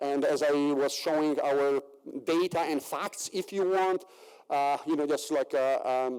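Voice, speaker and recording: Speaking with a Polish accent, a man uses a fairly high voice at a fairly slow pace with fairly even intonation. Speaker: agricultural researcher. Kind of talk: conference presentation. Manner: halting, many fillers.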